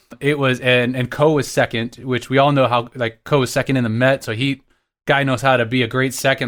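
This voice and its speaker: In a very clean recording with a silent background, a speaker with an American accent uses a normal speaking voice at a fairly quick pace with fairly even intonation. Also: man. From Texas. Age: 30s. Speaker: orchestral trombonist. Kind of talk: casual chat.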